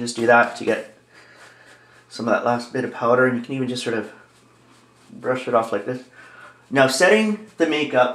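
A man speaks at a moderate pace with ordinary pitch variation, leaving long, frequent pauses, and the room echo is audible. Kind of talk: tutorial. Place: home room. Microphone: camera far.

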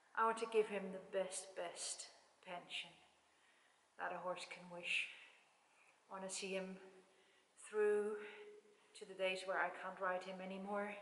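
A woman at a fairly slow pace in a monotone, flat intonation, with long, frequent pauses and audible room echo. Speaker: horse owner vlogger. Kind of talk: casual vlog chat. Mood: warm, proud, reflective. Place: hall. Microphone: camera far.

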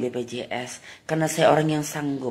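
Speaking very slowly, a woman uses a very deep, low voice with fairly even intonation. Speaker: comedian doing satirical monologue. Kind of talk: comedic satirical monologue addressed to the president.

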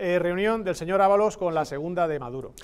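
A man's voice with lively intonation. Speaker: political commentator. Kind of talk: political commentary. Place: studio. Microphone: lapel.

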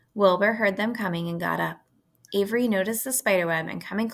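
Ordinary pitch variation during plain reading aloud

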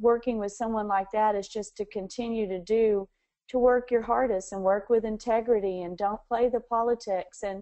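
At a moderate pace, a woman talks in a monotone, flat intonation over a quiet background. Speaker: interviewee. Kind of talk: interview answer. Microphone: phone line.

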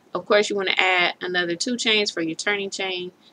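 Amid light background noise, a woman talks in a plain, everyday voice, fairly low in pitch and with fairly even intonation. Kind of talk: tutorial. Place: home room. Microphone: webcam.

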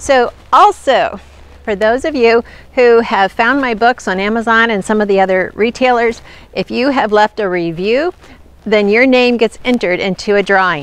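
A woman's voice with ordinary pitch variation comes through as a dry sound with no echo. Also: moderate pace. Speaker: nutrition channel host. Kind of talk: casual vlog chat. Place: forest. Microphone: phone near.

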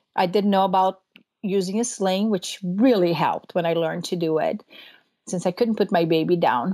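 A woman speaks at a moderate pace with a Portuguese accent, her tone dark and mellow. Her pitch is medium with ordinary pitch variation, on a very clean recording with a silent background. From Brazil. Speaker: dairy farmer and homeschooling mother. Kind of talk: interview conversation.

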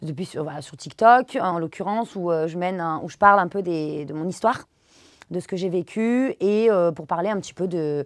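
A woman's fairly low voice at a moderate pace, with ordinary pitch variation, big swings in loudness and a quiet background. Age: 30s. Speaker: dance teacher and social media creator; dance teacher, social media creator. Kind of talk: interview. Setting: studio. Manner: halting, many fillers. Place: studio.

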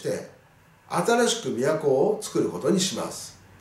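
Speaking at a very slow pace with lively intonation, a man is heard with audible room echo. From Japan. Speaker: teacher. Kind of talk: lecture. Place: classroom.

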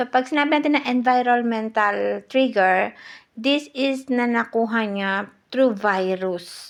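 A woman speaks at a very slow pace. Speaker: health vlogger. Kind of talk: informal talk to camera. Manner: halting.

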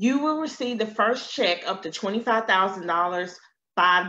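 With an American accent, a woman speaks at a very slow pace, her tone bright and sharp and her intonation lively. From US South. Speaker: loan consultant. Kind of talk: webinar presentation. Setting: live stream. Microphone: webcam.

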